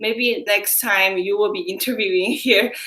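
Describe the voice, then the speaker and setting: Noticeable background noise surrounds a woman speaking at a fairly slow pace. Her intonation is lively. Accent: non-native. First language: not English. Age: young. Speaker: job-coaching client. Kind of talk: interview testimonial.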